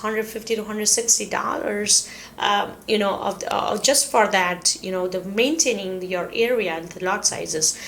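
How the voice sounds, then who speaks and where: Amid noticeable background noise, a woman with a non-native accent talks at a moderate pace with a fairly high pitch. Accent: non-native English, self-noted pronunciation. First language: not English. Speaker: real estate agent / relocation video host. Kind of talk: informational talk to camera. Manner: hesitant, many fillers.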